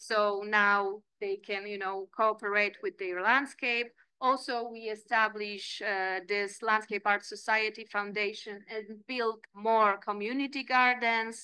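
A woman with a Polish accent speaks very slowly with hardly any pauses, her fairly high, bright, sharp voice flat and monotone yet swinging widely in loudness, the sound dry with no echo over a quiet background. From Poland. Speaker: landscape architect and lecturer; lecturer. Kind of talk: lecture. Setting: seminar room. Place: meeting room. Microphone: podium.

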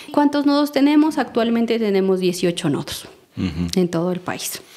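At a fairly slow pace, a woman speaks with lively intonation over noticeable background noise. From Colombia, Nariño department near Pasto. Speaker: seed network founder and coordinator. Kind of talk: interview. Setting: in person in Nariño, Colombia.

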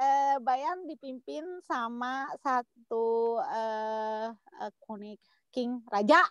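Her pitch is high and her intonation lively. The woman speaks at a very slow pace. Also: quiet background, dry sound with no echo. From Indonesia (Jakarta). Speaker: guest sharing personal story; guest. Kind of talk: casual chat. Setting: video call. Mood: relaxed, chatty. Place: car. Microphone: video call.

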